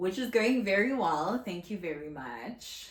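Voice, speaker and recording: Somewhat breathy, a woman speaks at a moderate pace with lively intonation, and audible room echo surrounds her voice. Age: 30s. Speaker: content creator. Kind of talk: casual vlog talk to camera. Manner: soft-spoken.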